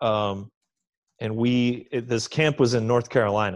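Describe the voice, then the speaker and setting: Over a quiet background, a man with an American accent speaks at medium pitch and a moderate pace in a flat monotone. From Oklahoma, US. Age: 30s. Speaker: metal musician. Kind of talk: interview.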